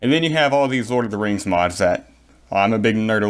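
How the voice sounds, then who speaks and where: A man with a fairly low voice talks at a very fast pace. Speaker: gaming YouTuber. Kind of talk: gaming tutorial. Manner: casual, filler-heavy.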